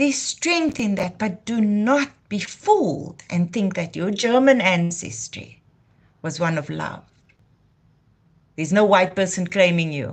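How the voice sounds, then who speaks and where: A somewhat breathy woman talks at a medium pitch with a South African accent. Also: lively intonation, fairly slow pace. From South Africa, Cape Town. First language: Afrikaans. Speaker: YouTube channel host. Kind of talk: live stream monologue. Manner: impassioned.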